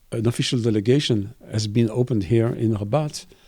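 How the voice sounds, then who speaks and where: A man speaks at a moderate pace with a French accent, a medium pitch and ordinary pitch variation. His tone is dark and mellow, on a very clean recording with a silent background. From Belgium. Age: 60s. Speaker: cartoonist and art professor. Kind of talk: interview. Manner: halting, with frequent repetitions.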